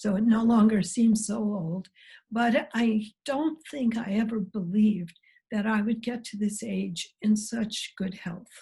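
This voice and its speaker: With an American accent, a woman speaks slowly at a fairly high pitch in a dark, mellow, somewhat breathy tone with fairly even intonation. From US Midwest, Missouri Ozarks. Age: 70s. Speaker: biologist, professor emerita. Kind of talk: interview.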